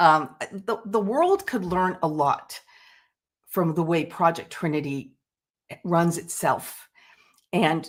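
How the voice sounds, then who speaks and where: In a very clean recording with a silent background, a woman speaks at a fairly slow pace in a normal speaking voice, at a medium pitch with ordinary pitch variation. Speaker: project founder or supporter. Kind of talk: panel discussion.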